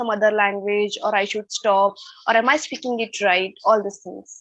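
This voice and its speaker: In an Indian accent, a woman talks at a moderate pace. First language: Hindi or Marathi. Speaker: English learner, channel creator. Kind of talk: online English speaking class. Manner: halting, hesitant.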